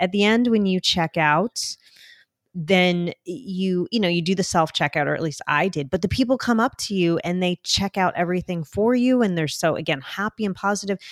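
A woman with a New Jersey accent speaks at a moderate pace, at a medium pitch with ordinary variation. The recording is very clean, with a silent background and a dry, close sound with no echo. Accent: New Jersey American. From New Jersey, US; born in Colombia. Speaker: international adoptee sharing her life story. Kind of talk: interview conversation. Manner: talkative, animated storyteller.

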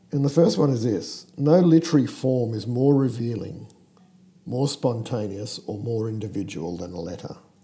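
The speech moves at a moderate pace with lively intonation and big swings in loudness. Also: man, medium pitch for a man. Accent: Australian. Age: 50s. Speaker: podcast host. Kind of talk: casual chat. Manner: hesitant with fillers.

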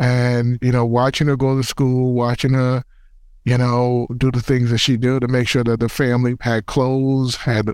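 Speaking at a fairly slow pace, a man with a medium-pitched voice has a New York accent. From New York City, the Bronx. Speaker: city youth agency commissioner, former basketball player. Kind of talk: interview by a middle-school student.

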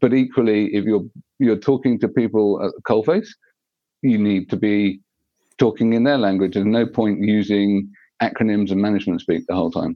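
Here a man uses a plain, everyday voice, fairly low in pitch with fairly even intonation. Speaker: assistive technology specialist. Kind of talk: interview conversation.

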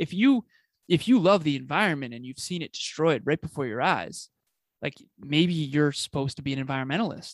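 A man's fairly high voice moves at a fairly quick pace with lively intonation, the sound dry and close with no echo on a very clean recording with a silent background. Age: 30s. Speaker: business coach and podcaster. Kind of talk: interview conversation. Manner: animated.

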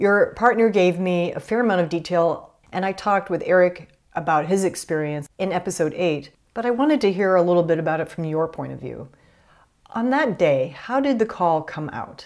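In a very clean recording with a silent background, a woman with a plain, everyday voice and fairly low pitch talks at a fairly quick pace with lively intonation. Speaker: podcast host. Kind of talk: interview conversation.

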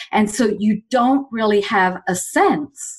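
A woman in an English accent speaks in a medium pitch, somewhat breathy, with lively intonation. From England. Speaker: executive coach. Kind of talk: interview conversation.

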